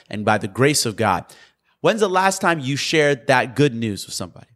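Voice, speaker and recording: A man's fairly high voice at a moderate pace, with very wide pitch swings, in a very clean recording with a silent background. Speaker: podcast host and preacher. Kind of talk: fervent preaching, sermon-like exhortation. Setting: podcast recording. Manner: emphatic and urgent, stressing key words; warm, encouraging, animated.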